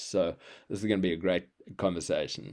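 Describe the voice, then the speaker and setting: A man's dark, mellow voice at a moderate pace. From South Africa, Cape Town. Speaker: healer and creativity coach. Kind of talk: casual interview. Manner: halting, many fillers.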